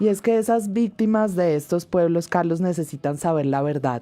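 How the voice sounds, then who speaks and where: With music in the background, a woman speaks at a fairly slow pace and fairly low pitch with ordinary pitch variation. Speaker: radio host. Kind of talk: scripted radio presenting.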